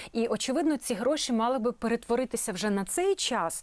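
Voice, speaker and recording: Her voice high in pitch, a woman talks with lively intonation. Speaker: TV host. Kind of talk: TV interview. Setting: studio.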